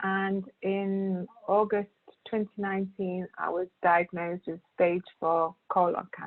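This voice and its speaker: A monotone, flat delivery at a fairly slow pace. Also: woman, medium pitch for a woman. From Britain. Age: 40s. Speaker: cancer patient, primary school teacher. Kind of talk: testimony.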